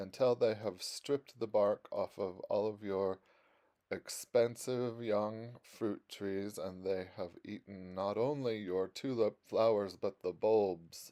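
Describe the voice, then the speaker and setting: Very slow and fairly even in intonation, a man talks with a fairly low pitch and a dark, mellow tone. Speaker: greenhouse builder and YouTuber. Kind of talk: casual video tour. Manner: trying to slow down.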